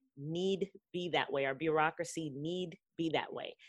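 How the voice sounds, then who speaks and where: Ordinary pitch variation runs through an unremarkable speaking voice with an American accent. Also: woman. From New York City (Queens). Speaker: political science professor. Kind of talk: podcast interview.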